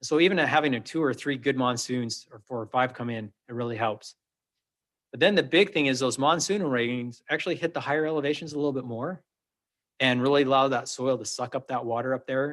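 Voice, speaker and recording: A man's medium-pitched voice moves at a fairly quick pace with ordinary pitch variation. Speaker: water district manager. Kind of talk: presentation to city council. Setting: council meeting. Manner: fast.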